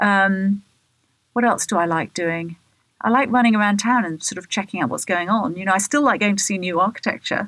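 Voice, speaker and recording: A woman talks at a fairly quick pace with a southern English accent. Her pitch is medium. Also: ordinary pitch variation, very clean recording, silent background. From England, Bath. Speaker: radio host and architecture journalist. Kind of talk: interview.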